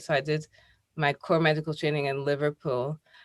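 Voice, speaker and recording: A woman with a Scottish accent and a very deep, low pitch. Her intonation is flat and monotone. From Scotland, near Glasgow. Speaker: consultant dermatologist. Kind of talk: interview.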